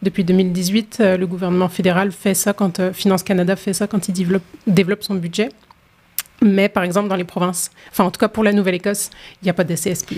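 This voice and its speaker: A woman with a medium pitch speaks very fast but with long, frequent pauses, her intonation monotone and flat. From France. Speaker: women's rights organization worker. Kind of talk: panel discussion.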